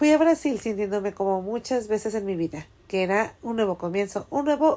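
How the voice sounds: The voice reads naturally. Its intonation is lively.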